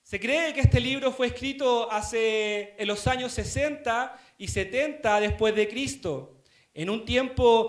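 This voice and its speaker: A man speaks at a very slow pace, his pitch extremely high. The room echo is audible, and his pitch varies in an ordinary way. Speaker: deacon preaching. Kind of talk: sermon.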